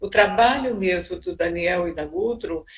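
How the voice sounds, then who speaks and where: A woman's somewhat breathy voice at medium pitch, moving at a moderate pace. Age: 70s. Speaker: psychologist. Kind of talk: interview talk.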